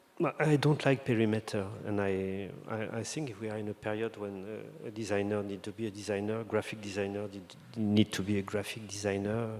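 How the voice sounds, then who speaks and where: Intonation here is fairly even. The delivery is fairly quick. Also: man, fairly low pitch for a man. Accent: French. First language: French. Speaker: designer. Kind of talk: interview conversation. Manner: halting, many fillers and restarts.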